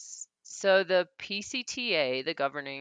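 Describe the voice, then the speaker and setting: A woman in a Southern US accent, recorded with a dry, close sound and no echo. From US South, Mississippi. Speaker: long-distance hiker. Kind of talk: interview. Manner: hesitant, many fillers (um, uh).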